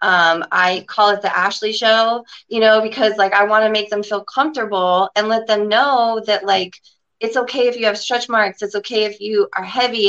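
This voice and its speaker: A woman with a plain, everyday voice and an American accent, fairly high in pitch, at a moderate pace with fairly even intonation. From Florida. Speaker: esthetician. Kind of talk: interview. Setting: video call.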